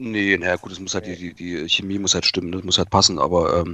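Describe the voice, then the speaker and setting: A man's fairly low voice at a fairly quick pace, an unremarkable speaking voice. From Saxony-Anhalt, eastern Germany (Eisleben). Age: 30s. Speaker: car enthusiast, automotive industry employee. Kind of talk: casual chat.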